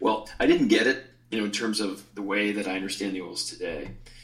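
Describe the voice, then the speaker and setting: With an American accent, a man speaks at a fairly quick pace with a fairly low pitch and ordinary pitch variation. Audible room echo surrounds his voice. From Chicago, US Midwest. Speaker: essential oils teacher and retreat leader. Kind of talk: interview; guided exercise.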